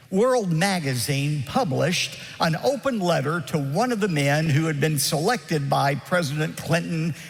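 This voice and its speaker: Noticeable background noise sits behind a man with an American accent. His pitch is fairly high. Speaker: pastor, televangelist. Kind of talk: sermon.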